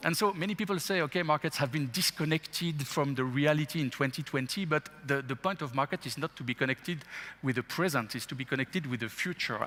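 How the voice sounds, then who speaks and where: Hardly pausing, a man with a French accent and a fairly high pitch talks at a very fast pace with ordinary pitch variation. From France. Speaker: investment executive. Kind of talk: interview. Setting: stage with audience.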